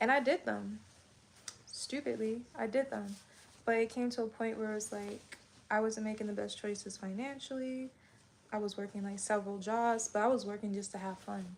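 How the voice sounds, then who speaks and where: Noticeable background noise is present. A woman speaks at a moderate pace. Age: 30s. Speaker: beauty and self-care livestreamer. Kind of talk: casual livestream chat. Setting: livestream at home, folding laundry. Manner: animated.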